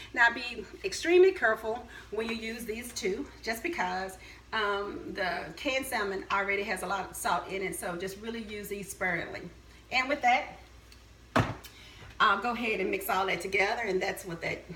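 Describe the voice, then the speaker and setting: An American accent with audible room echo and noticeable background noise. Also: woman. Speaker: caterer. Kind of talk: cooking tutorial with testimony. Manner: hesitant, many fillers.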